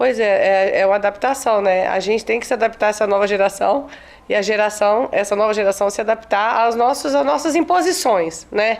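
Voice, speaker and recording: In a normal speaking voice, a woman with fairly high pitch talks at a fairly quick pace, her intonation lively and her loudness very even. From Espírito Santo, Brazil (rural Colatina). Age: 40s. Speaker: teacher and children's author. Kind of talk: interview.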